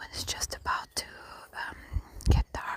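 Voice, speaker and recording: A woman whispers while noticeable noise fills the background. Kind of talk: ASMR whisper real talk, casual talk to camera. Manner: whispered, conversational.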